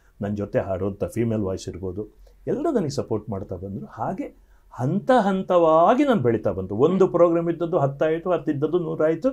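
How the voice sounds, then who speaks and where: A man speaks in a fairly high pitch with very wide pitch swings. The background is quiet. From coastal Karnataka, Dakshina Kannada (Sullia); Karnataka. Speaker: singer; guest. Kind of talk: interview. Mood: reflective, animated storytelling. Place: studio. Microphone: lapel.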